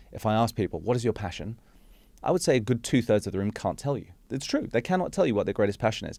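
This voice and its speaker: At a very fast pace, a man speaks with a dark, mellow tone at medium pitch on a very clean recording with a silent background. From Hong Kong. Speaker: executive coach and speaker. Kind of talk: podcast interview.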